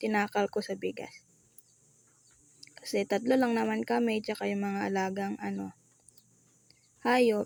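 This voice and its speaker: A woman speaks at a moderate pace, the sound dry and close with no echo. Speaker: vlogger. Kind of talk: casual vlog narration. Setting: at home, kitchen and bedroom. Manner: shy, soft-spoken.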